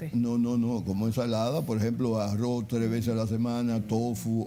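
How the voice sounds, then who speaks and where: Over music in the background and audible room echo, a man speaks at a moderate pace in a medium pitch with monotone, flat intonation. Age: 70s. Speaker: chef and nutrition advisor. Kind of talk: interview on nutrition. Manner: halting, repeats words.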